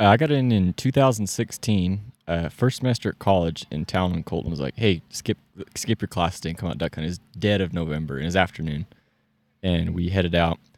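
On a very clean recording with a silent background and a dry, close sound with no echo, a man with a very deep, low voice speaks at a moderate pace with lively intonation. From California. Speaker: podcast guest, duck hunter. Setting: outdoors, camping in the mountains.

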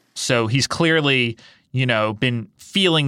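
A man's bright, sharp voice with ordinary pitch variation, on a very clean recording with a silent background. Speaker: political reporter. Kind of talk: explanatory interview.

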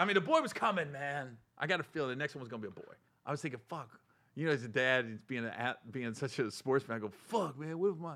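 A man at a very fast pace with lively intonation, on a very clean recording with a silent background. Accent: American. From Ohio, Cincinnati. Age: 40s. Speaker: comedian and podcast host. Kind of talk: casual chat.

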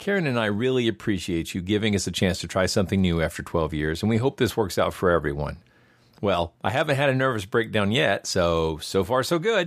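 A man with a normal speaking voice talks at a fairly quick pace, his fairly low pitch carried by lively intonation and very even loudness. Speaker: podcast host. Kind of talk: scripted narration; casual chat.

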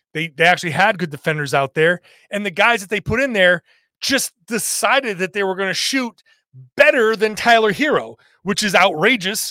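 In a very clean recording with a silent background and a dry, close sound with no echo, a man raises and projects his high, bright, sharp voice at a moderate pace with lively intonation. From Rhode Island. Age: 50s. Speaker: sports podcast host and basketball writer. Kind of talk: casual solo podcast talk.

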